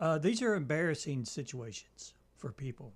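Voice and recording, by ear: The voice is somewhat breathy, with very wide swings in pitch. It moves at a moderate pace. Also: man, fairly high pitch for a man.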